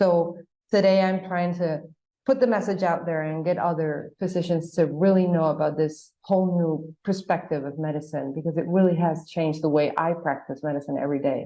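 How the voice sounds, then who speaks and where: The tone is dark and mellow. Delivery comes at a fairly quick pace with fairly even intonation. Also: woman, fairly low pitch for a woman. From Paraguay. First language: Spanish. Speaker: gynecologist. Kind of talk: podcast interview.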